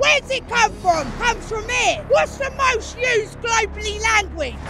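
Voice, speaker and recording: Speaking in an English accent, a woman uses a raised, projected voice at an extremely high pitch with ordinary pitch variation and a moderate pace, over noticeable background noise. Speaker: protester. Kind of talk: street interview. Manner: loud; animated.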